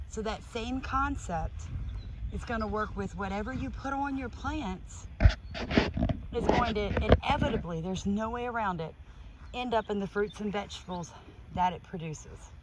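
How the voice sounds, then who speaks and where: Long, frequent pauses break up speech delivered at a moderate pace. The sound is dry with no echo, though noticeable background noise runs underneath. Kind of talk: casual explanatory vlog chat. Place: garden. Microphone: phone near.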